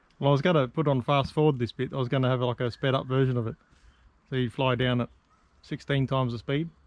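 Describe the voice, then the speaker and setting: With an Australian accent, a man talks very fast at a medium pitch, keeping his intonation fairly even. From Sydney, Australia. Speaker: vlogger. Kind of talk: casual chat while hiking. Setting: outdoors on a bush walk.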